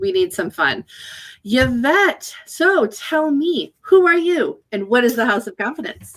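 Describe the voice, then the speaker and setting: This woman's voice is high. Her pitch swings very widely. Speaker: business consultant. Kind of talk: casual chat. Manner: fast.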